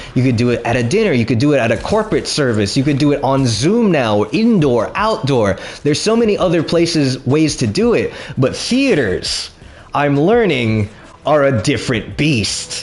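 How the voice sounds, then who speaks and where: Against noticeable background noise, a man talks at a moderate pace in a fairly high pitch, with very wide pitch swings and very even loudness. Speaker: stand-up comedian. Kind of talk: storytime while gaming. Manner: animated, expressive.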